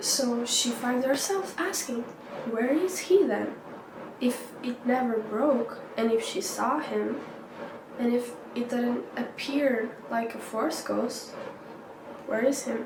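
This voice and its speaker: A woman with a non-native accent speaks at a high pitch and a very slow pace, with ordinary pitch variation and long, frequent pauses. Audible room echo and noticeable background noise come through. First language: not English. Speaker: YouTuber. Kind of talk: casual vlog storytelling. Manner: hesitant, many fillers.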